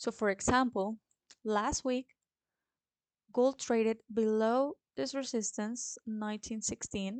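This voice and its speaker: A woman with a Spanish accent speaks at a very slow pace in a fairly high pitch, with fairly even intonation and a dry, close sound with no echo. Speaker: forex trader and trading educator. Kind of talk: tutorial.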